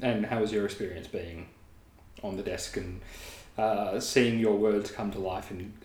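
A man's fairly low voice with an Australian accent, at a moderate pace with long, frequent pauses. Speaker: interview podcast host. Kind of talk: casual interview. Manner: mumbling at times.

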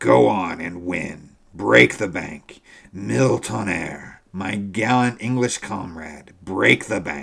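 A man uses a put-on character voice that is raspy, hoarse and very deep. He speaks at a fairly slow pace. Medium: read story. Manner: effusive, flattering, excitable.

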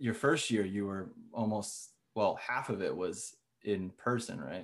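A plain, everyday voice from a man, at a fairly slow pace with ordinary pitch variation. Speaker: podcast host, composer. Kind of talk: casual interview chat.

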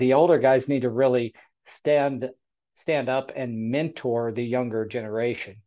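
An unremarkable speaking voice from a man at medium pitch and a fairly slow pace, with fairly even intonation. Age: 40s. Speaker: podcast host for flooring installers. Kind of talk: casual panel discussion.

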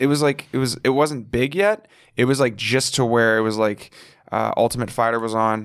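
A man talks at a moderate pace in a medium pitch with ordinary pitch variation. He has a plain, everyday voice. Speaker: comedian. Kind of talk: casual chat, podcast interview. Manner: casual, profane, joking.

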